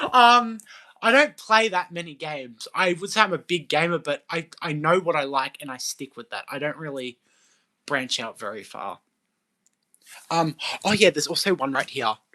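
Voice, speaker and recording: With an Australian accent, the speaker keeps a moderate pace broken by long, frequent pauses. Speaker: live streamer. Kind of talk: casual chat.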